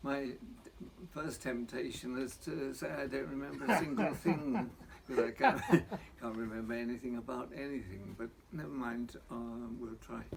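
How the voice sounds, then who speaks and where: Against noticeable background noise, a man talks at a moderate pace and medium pitch with lively intonation. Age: 80s+. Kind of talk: interview answer. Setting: outdoors.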